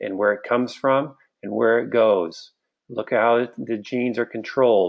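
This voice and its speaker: A man with an unremarkable speaking voice at medium pitch talks at a fairly slow pace with fairly even intonation. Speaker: online health educator. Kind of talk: live webinar lecture.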